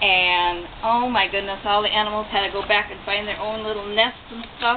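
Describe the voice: A woman at medium pitch with fairly even intonation and a fairly quick pace, over faint background noise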